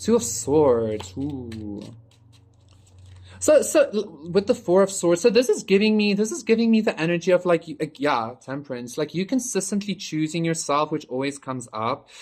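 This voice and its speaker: A man with a high pitch talks at a moderate pace, his pitch swinging very widely. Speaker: tarot reader. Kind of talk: collective tarot reading. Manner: casual, halting with fillers.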